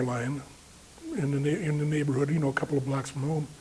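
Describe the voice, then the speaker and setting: This man's voice is pitched fairly high. There is noticeable noise in the background. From Chicago, US Midwest. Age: 70s. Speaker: war veteran. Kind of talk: oral history interview. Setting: veterans reunion interview. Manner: halting, many fillers.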